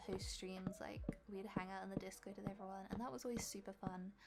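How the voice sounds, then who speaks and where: Over background music, the talker keeps up a fairly quick tempo, the pitch moving in an ordinary way. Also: woman. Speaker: gaming youtuber. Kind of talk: voiceover tutorial.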